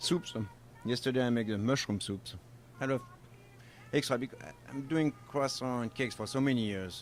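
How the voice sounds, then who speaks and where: A man with a French accent at medium pitch and moderate pace, with ordinary pitch variation, long and frequent pauses, and music in the background. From France, Normandy. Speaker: baker and chef, bakery owner. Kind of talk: casual interview. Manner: halting, broken English.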